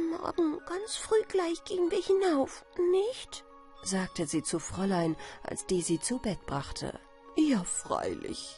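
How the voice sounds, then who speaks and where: With music in the background, the speech moves at a very slow pace. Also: woman. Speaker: storyteller. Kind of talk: bedtime story.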